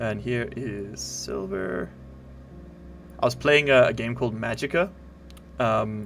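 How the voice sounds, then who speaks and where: Music plays behind a man who speaks fairly slowly, leaving long, frequent pauses. His pitch swings very widely. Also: medium pitch for a man. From South Africa. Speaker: gaming streamer. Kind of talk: casual live stream chat.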